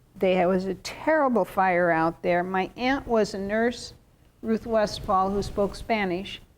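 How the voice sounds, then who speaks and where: A woman with an ordinary speaking voice and an American accent talks at a fairly slow pace, at a medium pitch with ordinary pitch variation and very even loudness. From southern Oregon. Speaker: tv interview host. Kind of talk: casual interview.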